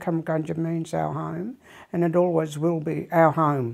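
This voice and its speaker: The tone is dark and mellow, at a moderate pace. It is a very clean recording with a silent background. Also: woman. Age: 70s. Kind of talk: personal interview testimony. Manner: halting, many fillers.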